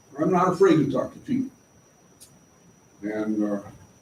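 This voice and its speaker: A man speaks at a moderate pace with very wide pitch swings. Background noise is noticeable. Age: 80s. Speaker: local resident addressing city council. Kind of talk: public comment at council meeting. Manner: halting, many filler sounds.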